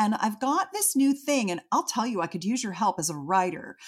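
A woman's fairly high, somewhat breathy voice with very wide pitch swings. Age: 60s. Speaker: intimacy adviser. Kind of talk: interview. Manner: animated.

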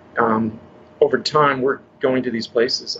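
Noticeable noise carries in the background. Through it, a man talks with an American accent. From northern California. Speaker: health coach. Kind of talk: interview.

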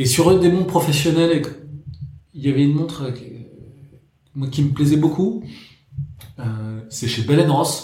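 The speech moves at a fairly slow pace with long, frequent pauses. Audible room echo is present. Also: man, fairly high pitch for a man, ordinary pitch variation. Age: 30s. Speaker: watch collector. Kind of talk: casual chat.

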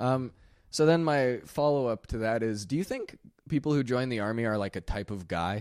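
A man's plain, everyday voice, medium in pitch, with lively intonation at a moderate pace on a very clean recording with a silent background. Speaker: comedy podcast host. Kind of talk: casual chat.

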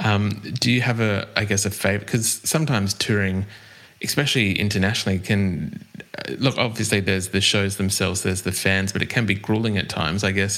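A man with an Australian accent speaks at a fairly quick pace and a fairly low pitch. His loudness stays very even and his intonation fairly even. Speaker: music podcast host. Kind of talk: scripted intro; interview. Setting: remote call.

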